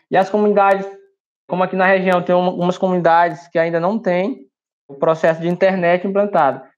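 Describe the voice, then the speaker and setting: The voice belongs to a man and sits at a high pitch. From Maranhão, Brazil. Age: 20s. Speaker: community journalist. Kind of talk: interview. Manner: hesitant, with frequent fillers.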